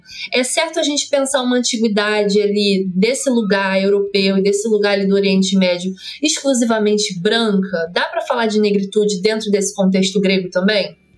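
A woman at a medium pitch, moderate pace with hardly any pauses, ordinary pitch variation and very even loudness, over noticeable background noise. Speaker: podcast co-host. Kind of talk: interview.

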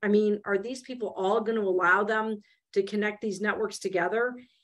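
A woman's normal speaking voice at a fairly high pitch and a moderate pace. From Michigan, US Midwest. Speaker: venture investor. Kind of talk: interview.

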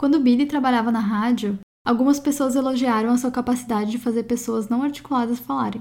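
A woman's high voice, fairly quick and flat in a monotone. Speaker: podcast host. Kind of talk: scripted narration.

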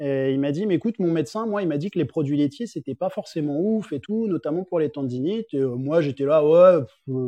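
The sound is dry and close with no echo, over a quiet background. A dark, mellow tone moves at a moderate pace with ordinary pitch variation. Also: man. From Paris, France. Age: 30s. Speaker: fitness coach and athlete. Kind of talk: casual interview chat.

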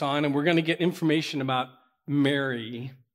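A man with an American accent and an ordinary speaking voice, fairly high in pitch, at a moderate pace with fairly even intonation, on a very clean recording with a silent background. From Pittsburgh, Pennsylvania. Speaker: pastor. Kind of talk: sermon. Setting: church with congregation.

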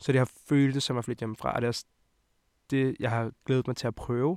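A man at a medium pitch in a flat monotone, fairly quick, with a dry, close sound, no echo, and a very clean recording with a silent background. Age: 20s. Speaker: podcast host. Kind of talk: casual chat.

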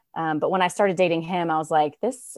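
A woman with an American accent and a fairly low pitch, dry and close with no echo, music in the background. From Raleigh, North Carolina. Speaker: author. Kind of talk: interview.

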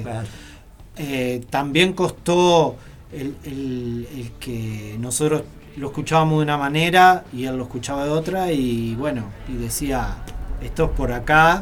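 A man talks at a fairly slow pace with ordinary pitch variation. The recording has audible room echo and noticeable background noise. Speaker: rock musician. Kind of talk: radio interview. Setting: radio studio.

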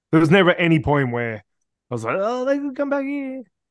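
A man with an Australian accent, lively intonation and a fairly quick pace against a quiet background. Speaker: podcast co-host. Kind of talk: casual banter.

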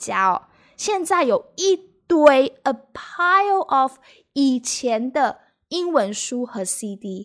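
High-pitched woman's voice in a Taiwanese accent, with very wide pitch swings. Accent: Taiwanese Mandarin accent in English. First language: Mandarin Chinese. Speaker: Mandarin teacher. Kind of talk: bilingual language lesson podcast. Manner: code-switching between Mandarin and English.

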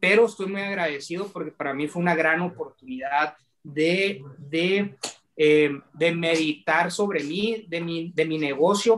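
A high-pitched man speaks at a fairly slow pace with ordinary pitch variation. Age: 30s. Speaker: young entrepreneur. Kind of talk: interview. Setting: video call.

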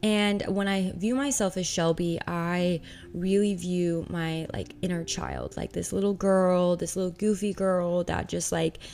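A woman with a fairly low pitch speaks at a moderate pace. She sounds animated. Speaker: podcast host. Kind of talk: casual monologue. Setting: home loft.

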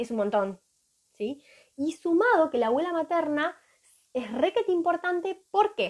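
Speaking at a fairly slow pace with a Rioplatense accent, a woman uses an extremely high pitch, very wide pitch swings, and long, frequent pauses. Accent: Argentine Rioplatense Spanish. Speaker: holistic therapist. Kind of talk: live stream talk.

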